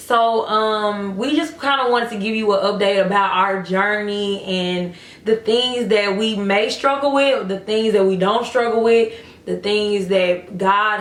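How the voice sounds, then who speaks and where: Speaking at a very slow pace, a woman with a medium pitch keeps her intonation fairly even, while noticeable background noise and audible room echo surround her. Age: 20s. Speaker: vlogger. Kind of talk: casual chat.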